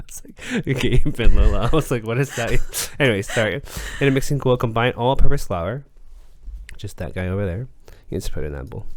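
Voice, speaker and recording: On a very clean recording with a silent background, a man talks fairly quickly with lively intonation. His voice has vocal fry and big swings in loudness. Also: medium pitch for a man. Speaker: podcast co-host. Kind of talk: casual chat while baking. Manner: animated.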